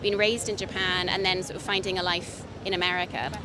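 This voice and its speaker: A woman talks very fast in a British accent. Noticeable background noise and audible room echo fill the recording. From Britain. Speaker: street interviewer. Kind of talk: street interview.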